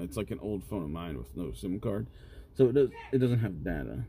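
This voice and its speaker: A man's voice with vocal fry at a fairly quick pace. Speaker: podcast co-host. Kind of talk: casual chat.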